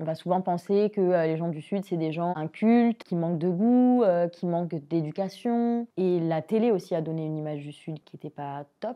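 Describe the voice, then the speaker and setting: Talking at a moderate pace with hardly any pauses, a woman with a fairly low pitch shows ordinary pitch variation and big swings in loudness. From southern France, Alès. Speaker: singer. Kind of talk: interview monologue. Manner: hesitant with many fillers.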